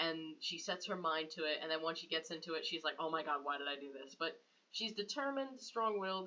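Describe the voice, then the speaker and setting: A woman's very deep, low voice, bright and sharp in tone, with lively intonation at a fairly quick pace. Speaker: fan fiction writer and YouTuber. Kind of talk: reading aloud own writing with commentary. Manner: casual, self-interrupting.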